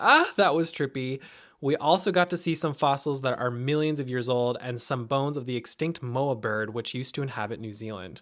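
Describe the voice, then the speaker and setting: An unremarkable speaking voice: a man with an American accent, medium pitch, ordinary pitch variation and a fairly quick pace. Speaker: travel vlogger. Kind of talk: travel vlog narration.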